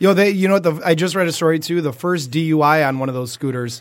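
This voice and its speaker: A man speaks at a fairly quick pace in a fairly high pitch, with ordinary pitch variation. It is an ordinary speaking voice. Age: 30s. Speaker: podcast host. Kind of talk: casual chat. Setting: studio.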